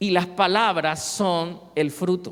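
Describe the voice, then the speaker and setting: A man is talking. He speaks with a Cartagena Colombian accent. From Colombia, Cartagena. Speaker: pastor. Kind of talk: sermon.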